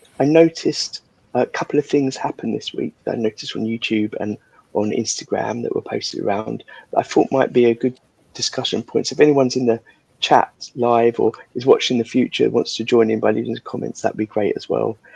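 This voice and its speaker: A soft-spoken man talks at a fairly quick pace, the sound dry and close with no echo. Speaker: livestream host of guitar builders chat. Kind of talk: casual chat.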